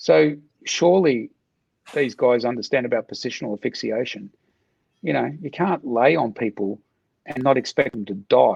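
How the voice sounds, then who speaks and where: With an Australian accent, a man at medium pitch talks at a moderate pace with lively intonation, vocal fry and long, frequent pauses, in a dry, close sound with no echo. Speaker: martial arts coach, ex-soldier. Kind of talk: casual chat.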